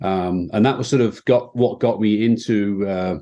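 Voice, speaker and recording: A man with a British accent talks at a moderate pace in a fairly low pitch and a dark, mellow tone. The background is quiet. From England, Midlands. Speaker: fintech executive. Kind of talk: interview.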